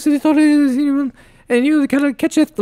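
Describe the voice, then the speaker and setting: In a put-on character voice with a high pitch, the speech comes at a fairly quick pace with monotone, flat intonation. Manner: adorable.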